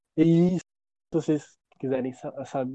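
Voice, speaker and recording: With dry, close sound with no echo, a man of fairly high pitch and dark, mellow tone speaks at a moderate pace with fairly even intonation. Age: 20s. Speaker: podcast co-host. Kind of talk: casual chat. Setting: outdoors.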